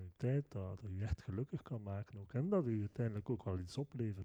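Dry and close with no echo, a man's fairly low, dark, mellow voice moves at a moderate pace with ordinary pitch variation. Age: 30s. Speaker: podcast host, IT person. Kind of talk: casual interview chat. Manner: hesitant, many fillers.

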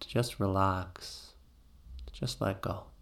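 Here a man speaks in a plain, everyday voice, fairly low in pitch. His pace is fairly slow. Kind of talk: guided meditation. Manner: slow, soothing, calm and gentle; rhythmic, repetitive, with long pauses.

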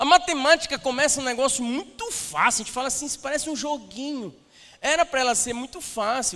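Using a raised, projected voice, a man speaks at a very fast pace with an extremely high pitch, ordinary pitch variation and big swings in loudness. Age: 30s. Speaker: pastor. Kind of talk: sermon. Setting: church stage with audience. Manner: animated.

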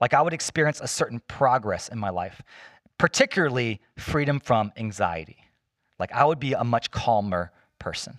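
A man with an ordinary speaking voice talks at a medium pitch and moderate pace with lively intonation, the sound dry and close with no echo. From US, Chinese immigrant family. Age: 40s. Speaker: pastor. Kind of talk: sermon. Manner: casual, conversational.

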